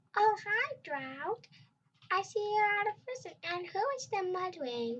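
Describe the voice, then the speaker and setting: In a put-on character voice, a female-sounding speaker talks at a fairly slow pace in a squeaky, extremely high pitch. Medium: read story.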